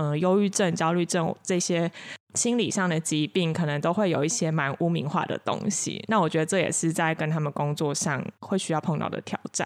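In a very clean recording against a silent background, a woman with a plain, everyday voice talks fairly quickly at a fairly low pitch, her pitch varying in an ordinary way and her loudness very even. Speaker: counseling psychologist. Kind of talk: casual chat.

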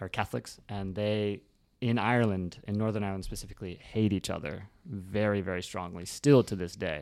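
A man with an American accent speaks at a fairly quick pace in an unremarkable speaking voice. His pitch is fairly low with ordinary pitch variation, on a very clean recording with a silent background. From Reno, Nevada, US. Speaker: podcast host. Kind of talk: casual interview chat.

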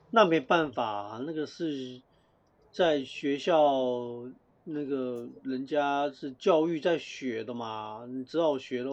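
A man talks at a very slow pace. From Taiwan. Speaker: podcast co-host. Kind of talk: casual chat.

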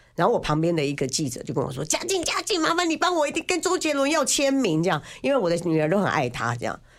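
The speech rushes along at a very fast pace with hardly any pauses over noticeable background noise. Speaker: biographer and former financial journalist. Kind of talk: casual chat. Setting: studio. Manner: talkative, loud.

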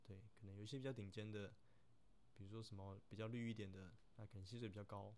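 A man with a fairly low voice talks at a very fast pace. His intonation is monotone and flat, with audible room echo. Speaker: third officer on a container ship. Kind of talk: casual Q&A monologue. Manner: hesitant, many fillers.

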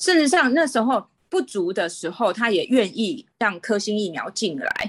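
Pitch swings very widely as the speech keeps a moderate speed. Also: woman. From Taiwan. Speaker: guest living abroad. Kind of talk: casual interview. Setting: remote call.

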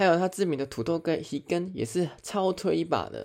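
A man speaks with a Taiwanese accent. The recording is very clean, with a silent background. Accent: Taiwanese Mandarin. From Taiwan, Chiayi. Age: middle-aged. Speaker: podcast host. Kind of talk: casual monologue.

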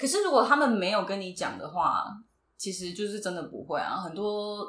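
Speech moves at a fairly quick pace. Its intonation is lively. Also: woman. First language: Taiwanese Hokkien (speaking Chinese). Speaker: podcast co-host. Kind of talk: casual chat.

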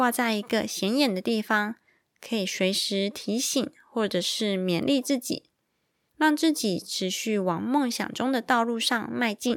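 Speaking at a fairly slow pace, a woman with a fairly high pitch and ordinary pitch variation comes through on a very clean recording with a silent background. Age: 30s. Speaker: podcast host. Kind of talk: children's picture book podcast. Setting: recording at home at night. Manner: animated.

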